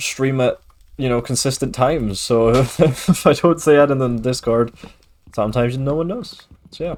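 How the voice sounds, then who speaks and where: In a Scottish accent, a man talks at a moderate pace. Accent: mild Scottish. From Scotland. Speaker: streamer. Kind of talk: casual gaming livestream chat.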